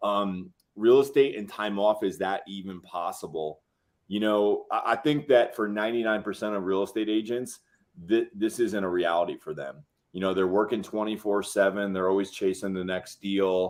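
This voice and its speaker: A man speaks at a moderate pace in a normal speaking voice, fairly low-pitched, with ordinary pitch variation. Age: 40s. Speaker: real estate show co-host. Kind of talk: casual chat.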